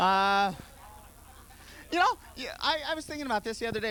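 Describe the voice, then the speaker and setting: A man talks at a fairly quick pace with a bright, sharp tone. His pitch swings very widely. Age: 20s. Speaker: stand-up comedian. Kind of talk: stand-up. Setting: stage with audience.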